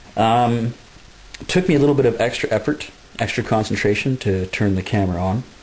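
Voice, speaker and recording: Noticeable background noise behind a man talking at a fairly quick clip. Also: medium pitch for a man, ordinary pitch variation. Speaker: video blogger. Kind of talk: casual vlog monologue. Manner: hesitant, many fillers.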